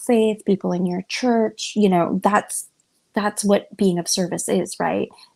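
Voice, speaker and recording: Whispering, a soft-spoken woman talks at a moderate pace. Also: very clean recording, silent background. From Cuban. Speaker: interfaith discussion guest. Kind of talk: casual chat. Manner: soft, near whispering.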